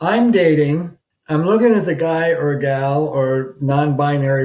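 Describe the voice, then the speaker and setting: This man has a fairly high pitch, ordinary pitch variation and a dark, mellow tone. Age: 70s. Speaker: couples therapist. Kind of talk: advice talk to camera. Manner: halting, many fillers and restarts.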